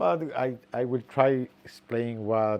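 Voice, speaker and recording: Here a man speaks with a non-native accent. His pitch is medium and his intonation fairly even. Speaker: biologist. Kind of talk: interview. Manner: halting.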